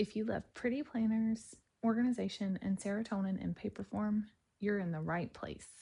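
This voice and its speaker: Against a quiet background, a woman speaks in a dark, mellow tone at a fairly high pitch. Her voice is somewhat breathy and moves at a moderate pace. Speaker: nurse. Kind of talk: casual talk to camera. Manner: upbeat, chatty.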